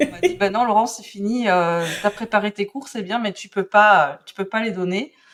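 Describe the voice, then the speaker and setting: At a fairly slow pace, a woman talks in a medium pitch with ordinary variation. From Belgium. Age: 40s. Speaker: calligraphy and drawing teacher. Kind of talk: podcast interview. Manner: hesitant, many fillers.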